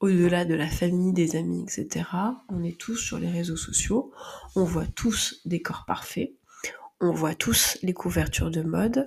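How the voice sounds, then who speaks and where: The woman speaks at a fairly slow pace. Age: 30s. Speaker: podcast host and phototherapist. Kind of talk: personal monologue.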